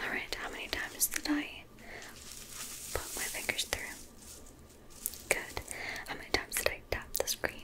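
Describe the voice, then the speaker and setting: A woman whispers at a moderate pace. Her loudness swings widely. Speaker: ASMR creator. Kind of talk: soft ASMR instruction. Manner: soft, close ASMR voice. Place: home room.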